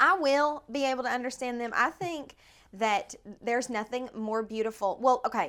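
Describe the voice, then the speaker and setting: In an East Tennessee accent, a woman with a high pitch speaks at a moderate pace in an animated, bright and sharp tone, with ordinary pitch variation. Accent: Southern US (East Tennessee). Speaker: country singer. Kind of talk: casual interview. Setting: house in East Nashville.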